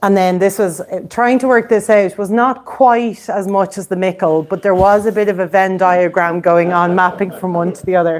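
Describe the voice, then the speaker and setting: A woman with an Irish accent at medium pitch, moderate pace, fairly even intonation, and hardly any pauses. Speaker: whiskey society president. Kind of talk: whiskey tasting presentation. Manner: hesitant, many fillers.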